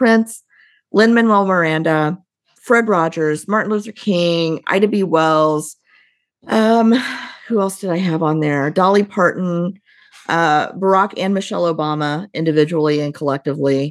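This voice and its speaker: A woman's fairly low voice with an American accent, ordinary pitch variation and a moderate pace. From US Midwest. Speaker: leadership consultant and company CEO. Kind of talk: casual interview conversation.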